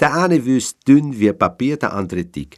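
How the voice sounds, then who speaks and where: On a very clean recording with a silent background, the speaker uses a Viennese accent at a fairly slow pace with very wide pitch swings. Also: man. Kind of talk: poetry reading.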